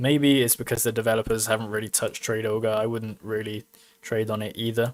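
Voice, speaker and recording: Someone speaks at a very fast pace with a British accent. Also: man. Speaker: crypto mining YouTuber. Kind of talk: casual livestream commentary. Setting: live stream.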